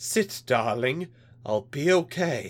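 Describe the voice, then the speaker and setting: A strained, put-on character voice at a low-to-middle pitch. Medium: read story. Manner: tense, barely restrained rage.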